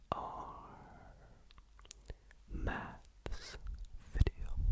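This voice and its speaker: A man whispers at a very slow pace. Noticeable background noise is present. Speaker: ASMR maths tutor. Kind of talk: ASMR maths lesson. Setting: home studio. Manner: whispered.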